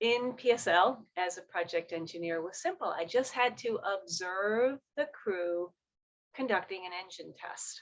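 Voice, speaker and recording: Lively intonation marks a woman's fairly slow delivery. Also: big swings in loudness. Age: 60s. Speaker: motivational speaker, former engineer. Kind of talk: workshop talk. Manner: animated.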